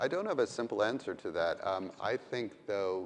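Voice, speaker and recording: A man's fairly slow speech with an American accent. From United States. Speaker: AI expert speaker. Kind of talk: panel Q&A discussion.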